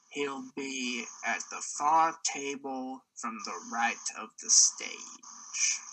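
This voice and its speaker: Delivered at a very slow pace, a put-on character voice swings a lot in loudness. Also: man. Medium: actual play. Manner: low-voiced, knowing.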